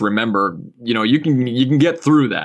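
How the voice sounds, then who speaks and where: At a very fast pace, a man talks with a Canadian Maritime accent, a medium pitch and ordinary pitch variation. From Nova Scotia, Canada. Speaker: designer and artist. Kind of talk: casual interview chat.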